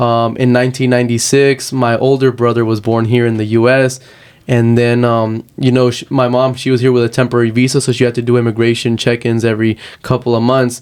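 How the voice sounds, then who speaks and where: A man with a Spanish accent, medium pitch and monotone, flat intonation, at a fairly quick pace. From Texas, moved from Uruguay at five. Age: 20s. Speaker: activist and aspiring lawyer. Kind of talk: interview.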